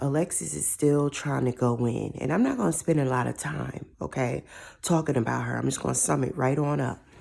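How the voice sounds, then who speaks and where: On a very clean recording with a silent background, a woman speaks at a very deep, low pitch with a dark, mellow tone. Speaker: TV show commentator. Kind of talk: casual commentary.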